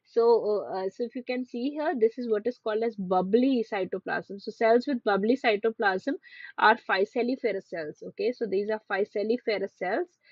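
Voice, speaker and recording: A woman speaks with a fairly high voice. Her pitch varies in an ordinary way. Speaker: medical teacher. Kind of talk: online revision lecture. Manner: fast.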